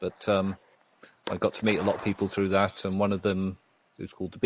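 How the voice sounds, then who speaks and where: A man with a British accent in a dry, close sound with no echo. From Britain. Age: 50s. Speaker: IT worker, online community member. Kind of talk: interview. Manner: halting.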